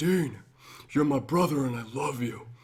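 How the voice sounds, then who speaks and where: A man talks in a put-on character voice at a moderate pace, his pitch medium. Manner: put-on impression of a TV character.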